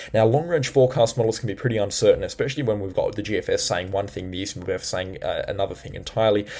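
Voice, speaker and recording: Someone speaks with an Australian accent at a very fast pace, with hardly any pauses. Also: man. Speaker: weather forecaster and storm chaser. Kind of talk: forecast update video.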